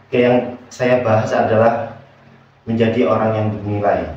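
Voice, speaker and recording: A man talks at a moderate pace in monotone, flat intonation. Audible room echo surrounds his voice. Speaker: motivational speaker. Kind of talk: motivational talk. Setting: bedroom at night. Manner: soft-spoken.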